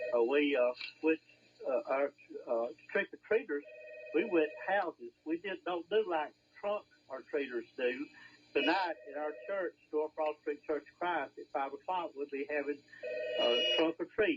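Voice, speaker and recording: A fairly high-pitched man with an Alabama accent, fairly slow pace, ordinary pitch variation, long, frequent pauses and big swings in loudness. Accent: Southern US, Alabama. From Alabama, Marshall County. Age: 70s. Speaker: hardware store owner, radio guest. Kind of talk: casual chat. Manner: halting, many fillers.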